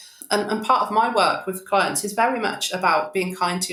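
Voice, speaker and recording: Noticeable noise sits behind a woman's voice. She talks at a moderate speed, her pitch shifting in an ordinary way. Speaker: therapeutic coach and podcaster. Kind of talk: podcast interview conversation. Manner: loud when excited.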